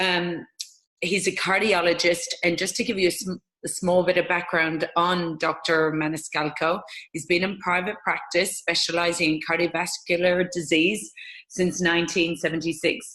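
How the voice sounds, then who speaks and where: With an Irish accent, a woman speaks at a moderate pace in a fairly low pitch and fairly even intonation. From Ireland. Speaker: interviewer, network marketing distributor. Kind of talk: interview.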